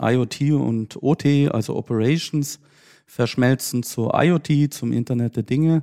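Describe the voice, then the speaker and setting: A man's dark, mellow tone at medium pitch, fairly even intonation, the sound dry and close with no echo. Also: very clean recording, silent background. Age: 30s. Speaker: IT security company executive. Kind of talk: podcast interview.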